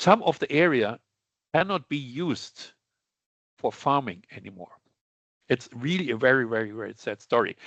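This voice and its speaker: Speaking in a German accent, a man uses lively intonation and big swings in loudness, with long, frequent pauses. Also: medium pitch for a man, moderate pace. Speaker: sales director presenting on lab chemicals. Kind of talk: webinar presentation. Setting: online webinar. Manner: halting, with false starts.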